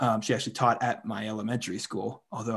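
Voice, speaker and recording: A man with an ordinary speaking voice and a medium pitch talks at a fairly quick pace with fairly even intonation against a quiet background. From western Pennsylvania, Indiana County. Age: 30s. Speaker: podcast host, philosophy PhD candidate. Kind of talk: casual conversation; scripted intro. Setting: video call.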